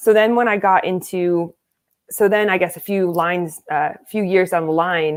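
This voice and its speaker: A woman with an American accent uses a normal speaking voice at a medium pitch. Her intonation is fairly even and her pace is moderate. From United States. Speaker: American football coach and player. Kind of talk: interview.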